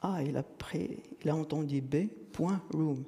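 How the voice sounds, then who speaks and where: A man speaks at a very slow pace in a fairly high pitch with ordinary pitch variation. His tone is dark and mellow. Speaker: conference speaker, software developer. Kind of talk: technical conference talk with live demo. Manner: hesitant, many fillers.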